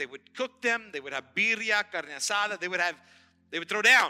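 In a raised, projected voice, a man speaks with an animated tone, lively intonation and high pitch. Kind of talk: sermon. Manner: animated, emphatic preacher cadence with repeated phrases and direct audience address; warm, upbeat and fervent.

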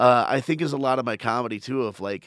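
Very clean recording of a man's voice against a silent background. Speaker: stand-up comedian. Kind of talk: casual chat. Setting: studio. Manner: energetic.

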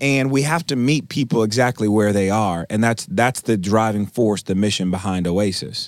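A man with an American accent speaks in an energetic tone at a fairly low pitch, keeping a moderate pace with hardly any pauses. His loudness stays very even and his pitch varies in an ordinary way. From US Midwest (Milwaukee, Wisconsin). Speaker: grocery store founder. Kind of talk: interview.

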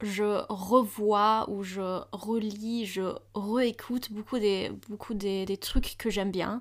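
On a very clean recording with a silent background, a woman with a German accent speaks very slowly, with hardly any pauses. Her medium-pitched voice has monotone, flat intonation. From Germany, Hamburg. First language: German (speaking French). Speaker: university student. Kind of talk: casual chat.

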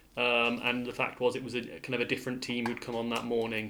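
Over noticeable background noise, a man at a medium pitch talks very fast in a monotone, flat intonation. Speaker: junior doctor. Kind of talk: casual chat.

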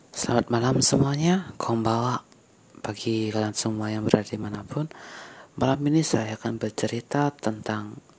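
Someone talks at a moderate pace through noticeable background noise. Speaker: podcaster. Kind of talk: casual solo storytelling podcast. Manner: casual, chatty.

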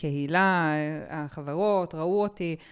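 In a very clean recording with a silent background, a woman speaks very slowly at a fairly low pitch with fairly even intonation. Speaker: podcast host. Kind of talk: interview.

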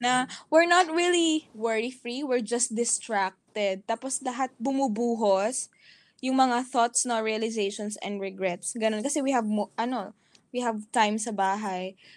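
A woman speaks at a fairly slow pace with a fairly high pitch. Her pitch varies in an ordinary way, and the recording is very clean with a silent background. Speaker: podcast co-host. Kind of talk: casual chat. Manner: animated, laughs often.

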